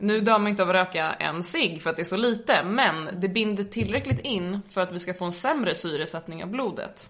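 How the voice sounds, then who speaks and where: A woman's unremarkable speaking voice at medium pitch, fairly quick, with ordinary pitch variation. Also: hardly any pauses. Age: 20s. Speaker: medical student and drug education lecturer. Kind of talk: informative interview.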